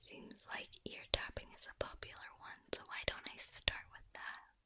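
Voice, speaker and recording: Soft-spoken and whispering at a moderate pace, the voice sounds dry with no echo, with light background noise behind it. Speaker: roleplay voice actor. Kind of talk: ASMR roleplay talk. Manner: soft whispered ASMR voice.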